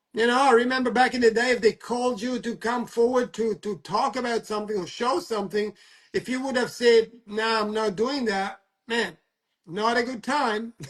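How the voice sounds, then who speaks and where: A man with an extremely high pitch, a non-native accent, fairly even intonation and a moderate pace. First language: not English. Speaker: talk show host. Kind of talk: casual chat. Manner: halting.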